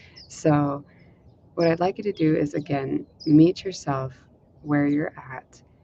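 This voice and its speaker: Over noticeable background noise, a woman speaks fairly slowly in a very deep, low voice with ordinary pitch variation. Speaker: meditation teacher. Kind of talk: guided meditation. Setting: live stream at home. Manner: speaking up loudly. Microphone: no dedicated mic, may be quiet.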